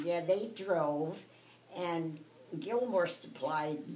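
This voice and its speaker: This woman speaks with an American accent. Her tone is dark and mellow, her pitch fairly low. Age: 80s+. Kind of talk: interview answer.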